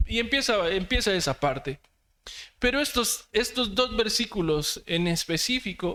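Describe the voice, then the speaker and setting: Very clean and set against a silent background, the recording carries speech delivered at a fairly slow pace. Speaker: preacher. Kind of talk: sermon.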